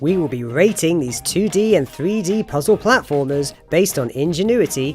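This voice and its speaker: Music plays in the background as a man with a fairly high pitch makes very wide pitch swings. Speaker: video game critic. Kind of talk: video game list narration.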